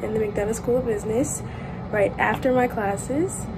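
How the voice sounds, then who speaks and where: Noticeable background noise sits behind speech at a moderate pace. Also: woman. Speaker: university student vlogger. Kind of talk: casual vlog chat. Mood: cheerful and relaxed. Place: home room. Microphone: phone near.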